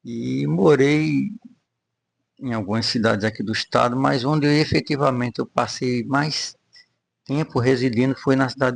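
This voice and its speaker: A man speaks with ordinary pitch variation. Long pauses come often. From Rio de Janeiro, Brazil. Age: 60s. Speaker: church member giving testimony. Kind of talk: testimony interview.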